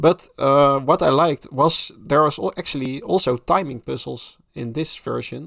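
This man's pitch is fairly high, moving with ordinary variation as he speaks at a moderate pace. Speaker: podcast co-host. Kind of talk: casual podcast discussion. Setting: home attic, remote call. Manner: halting, many filler sounds.

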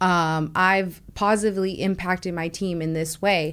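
A woman with an ordinary speaking voice and fairly low pitch talks at a moderate pace with fairly even intonation, in a very clean recording with a silent background. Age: 20s. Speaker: tech sales account executive. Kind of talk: interview.

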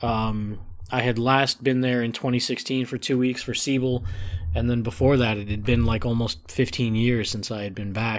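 A man with an American accent talks at a moderate pace and medium pitch in an ordinary speaking voice with fairly even intonation, in a very clean recording with a silent background. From Chicago north suburbs, Illinois. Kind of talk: casual chat.

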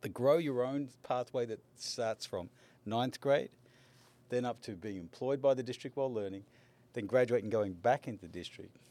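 A man with an Australian accent speaks at medium pitch in a dark, mellow tone, with ordinary pitch variation. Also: moderate pace. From Australia, Melbourne. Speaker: education college dean. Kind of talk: interview.

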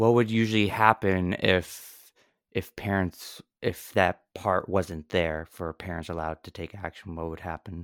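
A man with an American accent speaks fairly slowly in a very deep, low voice with fairly even intonation and big swings in loudness, in a dry, close recording with no echo that is very clean, with a silent background. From New Jersey, near New York. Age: 20s. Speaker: podcast co-host. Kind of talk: casual chat.

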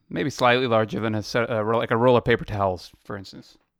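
The man rattles along very fast at a medium pitch, his intonation fairly even. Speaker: podcast co-host. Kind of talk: casual chat. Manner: laid-back, laughs often.

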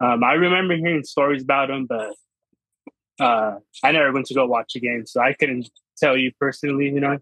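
A man with a fairly high voice talks at a fairly quick pace, with ordinary pitch variation and long, frequent pauses. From Washington state, US. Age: 20s. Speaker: sports fan. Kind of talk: casual interview.

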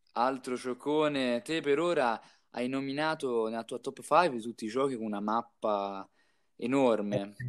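A man talks in a normal speaking voice at a medium pitch, with ordinary pitch variation. The recording is very clean, with a silent background. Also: fairly slow pace. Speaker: podcast co-host. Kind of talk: casual chat.

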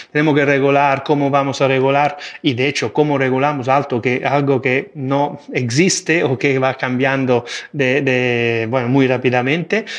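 Over a quiet background, a man with a medium pitch speaks at a fairly slow pace. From Italy. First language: Italian (speaking Spanish). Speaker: AI and digital governance expert. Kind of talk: interview. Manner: halting, many fillers and repetitions.

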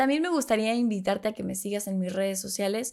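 A woman speaks at medium pitch. It is a very clean recording with a silent background. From Mexico City. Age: 20s. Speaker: podcast host. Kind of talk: casual monologue. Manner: animated.

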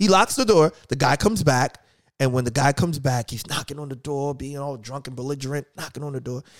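A man with a normal speaking voice and an American accent talks at a fairly quick pace with fairly high pitch and ordinary pitch variation. His loudness swings widely, and the sound is dry and close with no echo. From New York. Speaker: podcast host. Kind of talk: casual interview chat.

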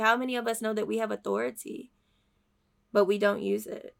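A woman speaks in an animated tone. Her pitch variation is ordinary. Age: 20s. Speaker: faith podcast host. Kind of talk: devotional talk.

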